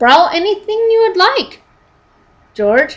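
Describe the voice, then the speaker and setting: A woman speaks in a put-on character voice, squeaky and extremely high in pitch. Her pitch swings very widely at a fairly slow pace. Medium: read story. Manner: warm, gentle.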